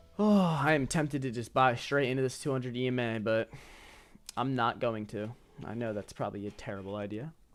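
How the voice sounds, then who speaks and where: With music playing in the background, the speech moves at a fairly quick pace. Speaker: futures day trader streamer. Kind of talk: live stream trading commentary. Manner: casual, thinking aloud.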